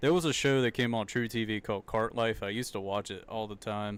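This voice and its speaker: Recorded very cleanly over a silent background, a man with a Southern accent speaks at a medium pitch. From US South. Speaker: streamer. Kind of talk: live reaction commentary. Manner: casual, halting.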